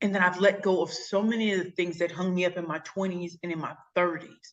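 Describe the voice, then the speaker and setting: A woman talks at a fairly quick pace with a St. Louis accent. Her tone is animated. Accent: Midwestern, St. Louis. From St. Louis, Missouri, US Midwest. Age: 40s. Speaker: pitch coach and speaker. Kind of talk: interview. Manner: fast; high-energy, animated.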